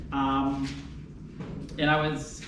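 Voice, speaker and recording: A fairly high-pitched man talks with audible room echo and noticeable background noise. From Canada (Hamilton, Ontario). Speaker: law and genetics professor. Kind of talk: lecture. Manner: fast.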